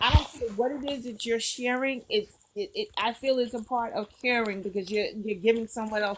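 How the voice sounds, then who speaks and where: A woman speaks at a fairly high pitch. Her pitch varies in an ordinary way. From New York, the Bronx. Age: 50s. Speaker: live-stream host. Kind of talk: casual live-stream chat.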